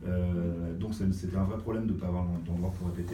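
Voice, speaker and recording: Fairly quick speech against noticeable background noise, with audible room echo. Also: man. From Brittany, France (Brest). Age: 40s. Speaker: music industry programmer and artist manager. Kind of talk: interview. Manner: hesitant, many fillers.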